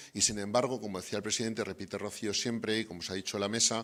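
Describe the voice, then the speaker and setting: A man with a Spanish accent talks in a fairly low, flat monotone. The recording is very clean, with a silent background. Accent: Spanish (Spain). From Spain. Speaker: development bank representative. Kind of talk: closing remarks at event. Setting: university event with audience. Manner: hesitant, many fillers.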